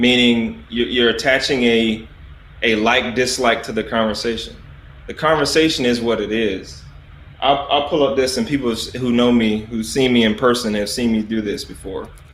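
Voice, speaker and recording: Audible room echo surrounds a voice with a Southern US accent speaking at a moderate pace. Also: man, medium pitch for a man, ordinary pitch variation. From US South, South Carolina. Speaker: army officer. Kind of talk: interview. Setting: livestream.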